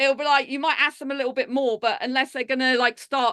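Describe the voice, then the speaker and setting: A woman with a high pitch speaks at a very fast pace in a raised, projected voice with a bright, sharp tone. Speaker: public speaker. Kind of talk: casual interview.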